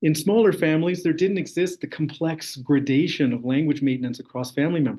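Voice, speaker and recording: A man with an unremarkable speaking voice, fairly high in pitch with ordinary variation, fairly quick and with hardly any pauses. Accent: Canadian. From interior of British Columbia, Canada. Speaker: graduate student researcher. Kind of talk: academic talk. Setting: online session.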